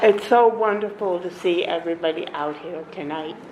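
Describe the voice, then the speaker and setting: Over noticeable background noise and audible room echo, a woman talks at a fairly slow pace with a fairly low pitch. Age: 60s. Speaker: activist. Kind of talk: public hearing testimony.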